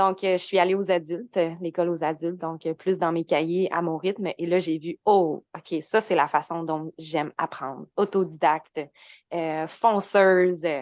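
With a Quebec accent, a woman speaks fairly slowly at a fairly low pitch against a quiet background. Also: dry, close sound with no echo. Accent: Québécois French. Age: 20s. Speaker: human design and astrology coach, entrepreneur. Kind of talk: casual interview.

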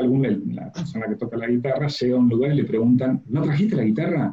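A man speaks very fast at a medium pitch, somewhat breathy. His intonation is lively. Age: 40s. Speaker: communication and public speaking coach. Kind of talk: interview.

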